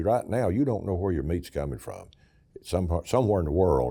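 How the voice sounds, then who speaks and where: In an Appalachian accent, a man talks very fast with a very deep, low pitch, a dark, mellow tone, vocal fry and lively intonation. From East Tennessee. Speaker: state senator. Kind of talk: interview answer.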